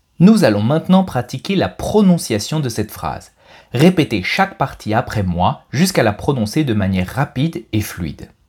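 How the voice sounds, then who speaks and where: Somewhat breathy, a man at a medium pitch makes very wide pitch swings in a very clean recording with a silent background. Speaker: French language teacher podcast host. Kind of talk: pronunciation tutorial; scripted narration. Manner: clear, slow-paced delivery for learners.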